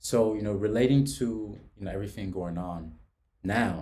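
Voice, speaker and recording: At a moderate pace, a man speaks in a fairly low, somewhat breathy voice with a dark, mellow tone and ordinary pitch variation, with audible room echo. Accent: New York. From New York City (from age seven, born in Mozambique). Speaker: podcast host. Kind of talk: casual chat. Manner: halting, repeats words.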